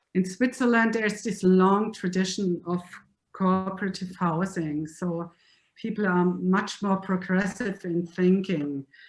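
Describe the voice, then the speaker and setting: A woman with a German accent speaks slowly-ish, at a fairly slow pace, in a somewhat breathy, medium-pitched voice with fairly even intonation. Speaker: lecturer. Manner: halting.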